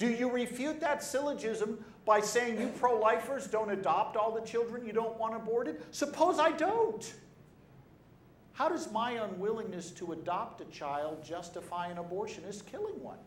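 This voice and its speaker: A man speaks at a moderate pace with a high pitch and lively intonation. Noticeable background noise and audible room echo fill the recording. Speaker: pro-life speaker and debater. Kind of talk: talk to an audience. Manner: animated.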